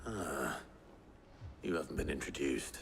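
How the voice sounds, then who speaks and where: A man's put-on character voice, raspy and very deep, at a moderate pace with clear background noise. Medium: video game. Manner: dry, sardonic.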